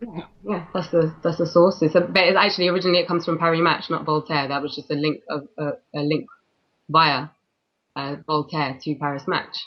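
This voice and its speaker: A woman with a London accent, very deep and low in pitch, with fairly even intonation at a fairly quick pace. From London, England. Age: 20s. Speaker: freelance journalist. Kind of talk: interview. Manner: halting.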